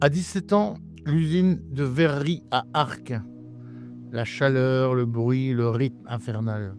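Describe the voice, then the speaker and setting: A man speaks at a medium pitch with lively intonation and a very slow pace. Long, frequent pauses break up his speech while music plays in the background. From northern France. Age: 60s. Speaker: retired school principal sharing life story. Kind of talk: personal testimony.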